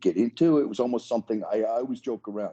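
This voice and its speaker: Here is a man with an American accent and a dark, mellow tone. The sound is dry and close with no echo, the background quiet, and his pitch varies in an ordinary way. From New York area. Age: 60s. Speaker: retired fighter and martial artist. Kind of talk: interview answers.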